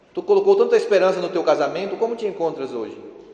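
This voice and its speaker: A man talks at a fairly quick pace in an animated tone. Noticeable background noise and audible room echo are present. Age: 40s. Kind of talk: sermon.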